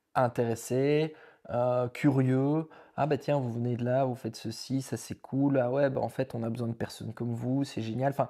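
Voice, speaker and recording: Against a quiet background, a man speaks at a medium pitch and a moderate pace, his dark, mellow tone delivered in a monotone, flat intonation. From Belgium. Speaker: vlogger. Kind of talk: casual chat. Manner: halting.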